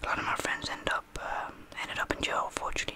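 Whispering, a man goes along at a fairly quick pace. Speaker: ASMR creator playing a barber. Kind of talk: roleplay chat. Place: home room. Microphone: studio mic.

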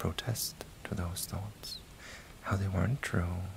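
Someone whispers in a gentle, calm tone at a fairly slow pace over noticeable background noise. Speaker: ASMR content creator. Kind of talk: hypnotic guided relaxation with a countdown, deepening the listener's trance. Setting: recorded inside a virtual reality social game. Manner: slow, soothing, repetitive cadence with reassuring 'that's it' prompts; gentle and calm, counting down numbers in a lulling rhythm.

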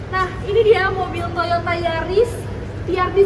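Noticeable background noise sits behind a woman's extremely high voice. She speaks at a very slow pace. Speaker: presenter. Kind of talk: car review walkaround. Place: garage. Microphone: camera far.

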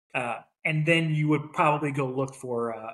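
A man's fairly even intonation and moderate pace come through against a quiet background. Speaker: logistics professional, podcast co-host; podcast co-host. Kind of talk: casual chat. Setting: home recording, echoey room. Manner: talkative. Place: home room.

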